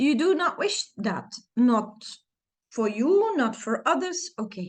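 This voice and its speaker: The speaker has a Dutch accent and very wide pitch swings. The pace is very slow. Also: woman, high pitch for a woman. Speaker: self-help coach. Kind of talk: tutorial.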